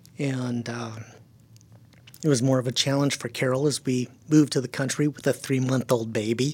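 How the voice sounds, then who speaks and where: The speaker talks at a moderate pace with monotone, flat intonation and long, frequent pauses. Background noise is noticeable. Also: man, medium pitch for a man. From California, German-speaking home. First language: German. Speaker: missionary to the deaf. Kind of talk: interview.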